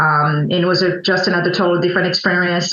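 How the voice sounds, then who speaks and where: Speaking very fast, a woman with a fairly low pitch is heard against noticeable background noise. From Burundi (Bujumbura). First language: French and Kirundi. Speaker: coffee importer, entrepreneur. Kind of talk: interview conversation. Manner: halting, many fillers.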